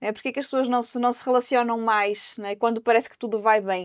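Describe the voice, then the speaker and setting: The voice belongs to a woman and sits fairly high. She talks very fast. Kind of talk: panel discussion. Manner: hesitant, with frequent repetitions.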